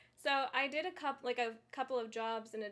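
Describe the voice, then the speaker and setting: A woman's voice with fairly high pitch. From California. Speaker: esports presenter. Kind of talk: casual chat. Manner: energetic.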